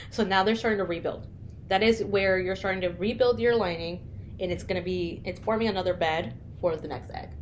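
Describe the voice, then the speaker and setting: With vocal fry and audible room echo, a woman talks at a fairly quick pace in a medium pitch with ordinary pitch variation. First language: not English. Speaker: podcast co-host. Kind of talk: casual chat.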